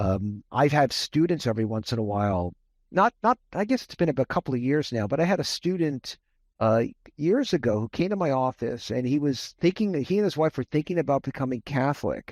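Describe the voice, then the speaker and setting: In an American accent, a man talks at a fairly quick pace with very wide pitch swings, the sound dry and close with no echo against a quiet background. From US West (Las Vegas, Nevada). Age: 60s. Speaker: professor. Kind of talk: interview. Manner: halting, many repeated words.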